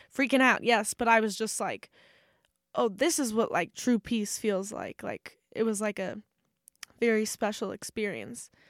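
The recording is very clean, with a silent background and a dry, close sound with no echo. The pitch varies in an ordinary way at a moderate pace. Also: woman. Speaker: podcast co-host. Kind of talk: casual chat. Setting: studio. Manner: loud.

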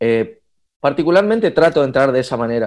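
In a quiet background, a man speaks at a fairly quick pace. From Argentina, Resistencia (Chaco, northeast). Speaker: singer, guitarist and music producer. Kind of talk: casual chat. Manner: halting, many repetitions and fillers.

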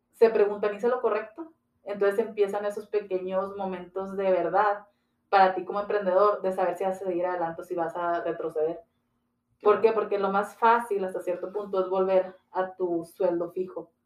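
A woman speaks at a moderate pace in an unremarkable speaking voice, medium in pitch with fairly even intonation. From Ciudad Juárez, Chihuahua, northern Mexico. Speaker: entrepreneurship and branding consultant. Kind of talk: interview.

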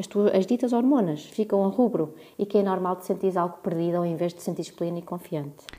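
The voice has a dark, mellow tone. It moves very fast with hardly any pauses. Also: woman, medium pitch for a woman, ordinary pitch variation. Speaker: podcast co-host, freelance journalist. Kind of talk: casual chat.

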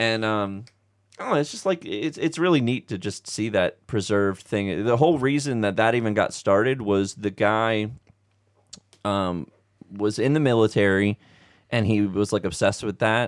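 A man with a normal speaking voice talks at a moderate pace. His pitch is fairly low, with ordinary variation. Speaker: movie fan guest. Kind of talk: casual chat about Christmas movies. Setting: basement, recording at home.

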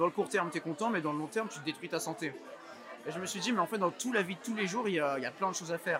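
Crowd noise fills the background as a man talks very fast. His voice is high-pitched, with ordinary pitch variation. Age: 20s. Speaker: entrepreneur. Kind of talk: interview. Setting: rooftop. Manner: hesitant, many fillers.

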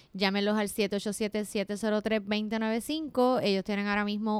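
A very slow pace in a monotone, flat intonation, with a dry, close sound and no echo. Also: woman. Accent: Puerto Rican. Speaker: podcast co-host. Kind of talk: casual chat.

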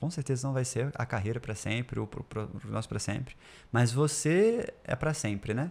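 Somewhat breathy, a man of medium pitch talks at a moderate pace with ordinary pitch variation in a very clean recording with a silent background. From Brasília, Brazil. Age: 20s. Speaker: startup founder. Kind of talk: casual interview chat.

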